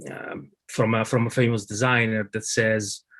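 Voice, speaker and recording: A man is speaking. He has a strong Italian accent. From Italy. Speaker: lead designer. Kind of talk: conference presentation. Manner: halting, many fillers.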